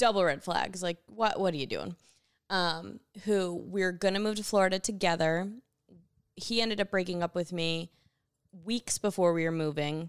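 A woman with an American accent talks at a moderate pace and medium pitch with ordinary pitch variation and long, frequent pauses, in a dry, close, echo-free, very clean recording with a silent background. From upstate New York. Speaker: podcast guest, host's friend. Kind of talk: casual chat. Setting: at home on a couch, evening.

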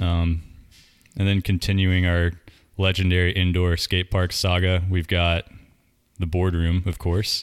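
A man with an American accent and a very deep, low pitch, fairly slow, with long, frequent pauses, monotone, flat intonation and very even loudness. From North Carolina. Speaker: podcast host and skateboarder. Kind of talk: casual interview chat. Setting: home recording.

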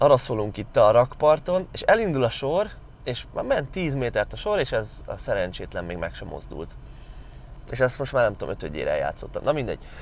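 A man with big swings in loudness against noticeable background noise. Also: moderate pace. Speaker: strength coach vlogger. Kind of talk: casual vlog monologue. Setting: in a car. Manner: stammering, hesitant.

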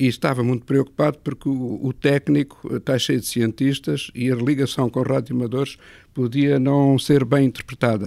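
A man's normal speaking voice, medium in pitch, at a moderate pace with fairly even intonation, dry and close with no echo. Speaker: retired engineering professor. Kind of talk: interview. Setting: satellite ground station room.

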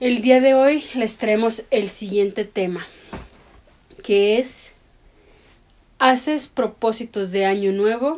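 Her pitch fairly high with ordinary variation, a woman speaks at a very slow pace with long, frequent pauses. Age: 30s. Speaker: podcast co-host. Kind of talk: casual chat; scripted narration.

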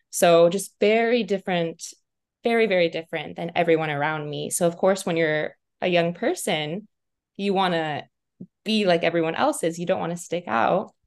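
A woman with an American accent speaks at a moderate pace, her pitch fairly low with ordinary variation. She has an unremarkable speaking voice, heard over a quiet background. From Montana, US. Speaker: purpose coach. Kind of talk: interview conversation.

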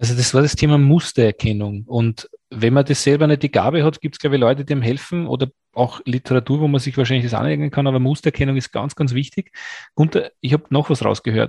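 A man talks at a very fast pace, somewhat breathy, with fairly even intonation. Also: medium pitch for a man, dry, close sound with no echo. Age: 40s. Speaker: podcast host. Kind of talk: interview.

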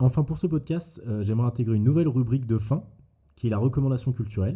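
A man speaks at a very fast pace in a dark, mellow tone. His voice is somewhat breathy. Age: 20s. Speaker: podcast host. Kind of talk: solo monologue podcast. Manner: casual.

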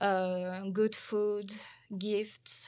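Monotone, flat delivery from a woman with a French accent, on a very clean recording with a silent background. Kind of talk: casual chat. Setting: studio.

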